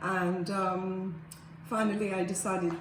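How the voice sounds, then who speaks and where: In a flat monotone at a very slow pace, the voice comes with audible room echo and noticeable background noise. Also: woman. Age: 70s. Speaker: surgery patient. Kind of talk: patient testimonial. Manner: halting, many fillers and repeats.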